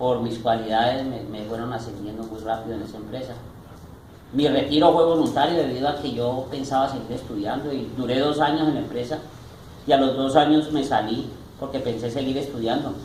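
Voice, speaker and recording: A man's fairly quick speech with audible room echo and noticeable background noise. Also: medium pitch for a man, fairly even intonation. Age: 60s. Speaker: retired salesman and store manager. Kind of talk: interview.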